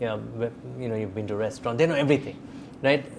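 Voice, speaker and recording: Noticeable background noise fills the recording. A man speaks over it with lively intonation. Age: 40s. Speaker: podcast host and editor. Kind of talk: interview.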